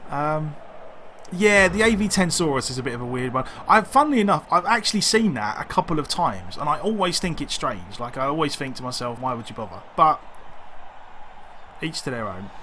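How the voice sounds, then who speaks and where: Against noticeable background noise, a man with a fairly high pitch speaks with very wide pitch swings. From East London. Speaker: video game streamer. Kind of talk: live gameplay commentary. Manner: casual, hesitant with fillers.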